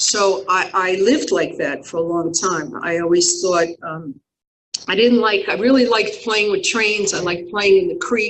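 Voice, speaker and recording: Here is an ordinary speaking voice with an American accent. It moves at a moderate pace. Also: woman, medium pitch for a woman, ordinary pitch variation. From New York. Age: 60s. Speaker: recovery speaker. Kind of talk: testimony.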